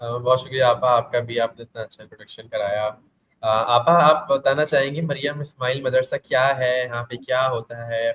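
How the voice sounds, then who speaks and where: The loudness swings widely while the intonation stays fairly even. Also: man, medium pitch for a man. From Karachi, Pakistan. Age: young. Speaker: student podcast host. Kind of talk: interview. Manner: halting.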